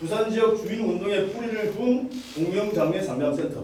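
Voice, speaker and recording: Lively intonation comes through with noticeable background noise and audible room echo. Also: man. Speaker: activist presenter. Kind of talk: panel presentation. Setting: forum with audience. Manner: fast.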